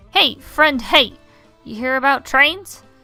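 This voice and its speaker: A woman uses a put-on character voice in a raised, projected voice at high pitch. She speaks at a fairly slow pace over faint music in the background. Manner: mysterious, weird.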